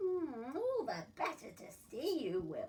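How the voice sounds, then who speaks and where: A woman's put-on character voice at an extremely high pitch and a fairly slow pace. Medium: read story. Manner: sly, sweetly menacing.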